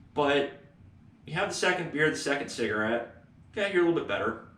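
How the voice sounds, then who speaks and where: Amid audible room echo, a man talks at a fairly quick pace with lively intonation. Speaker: economics lecturer. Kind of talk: lecture. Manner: casual, conversational.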